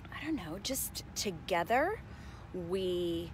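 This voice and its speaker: Vocal fry marks a woman's voice, heard in a dry sound with no echo over noticeable background noise. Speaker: vlogger. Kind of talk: casual vlog chat. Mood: reflective, a bit low. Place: open country. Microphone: earbuds.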